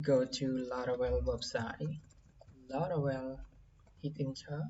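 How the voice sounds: Speaking at a slow pace with little pitch movement, the voice has a dark, mellow tone and audible room echo.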